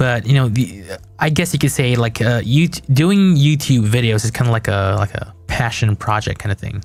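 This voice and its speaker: Somewhat breathy, this voice moves at a moderate pace with lively intonation. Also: man, medium pitch for a man. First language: not English. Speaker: game developer and YouTuber streaming. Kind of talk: casual live stream chat. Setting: live stream. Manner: halting, many fillers and restarts.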